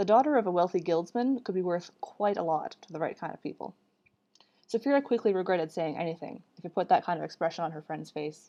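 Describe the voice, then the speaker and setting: A woman with a fairly low pitch and dark, mellow tone races at a very fast pace with lively intonation. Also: big swings in loudness. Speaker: author reading own book. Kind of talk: reading aloud. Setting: livestream.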